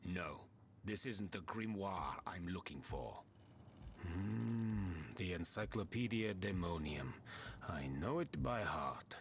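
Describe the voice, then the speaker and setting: A man puts on a character voice that is very deep and low, moving at a fairly slow pace with long, frequent pauses. Clear background noise runs behind him. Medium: video game. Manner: haughty, dismissive.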